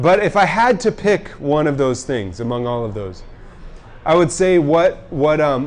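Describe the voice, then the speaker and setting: Lively intonation in an American accent at a moderate pace, over noticeable background noise. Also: man. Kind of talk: talk to young adults at a pub event. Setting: pub with live audience.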